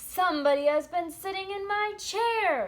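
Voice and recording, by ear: A woman puts on a character voice, pitched extremely high and delivered at a moderate pace.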